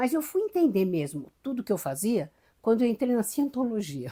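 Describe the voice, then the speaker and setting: Fairly high-pitched female voice, dark and mellow in tone, somewhat breathy, with very wide pitch swings, a fairly quick pace and a very clean recording over a silent background. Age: 70s. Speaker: mystic and regression therapist. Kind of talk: interview conversation. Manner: animated, with repetitions and stammers.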